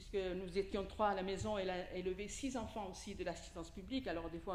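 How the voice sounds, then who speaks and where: A woman speaks at a moderate pace with ordinary pitch variation. Audible echo fills the room. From Italy. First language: Italian (speaking French). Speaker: preacher. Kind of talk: sermon.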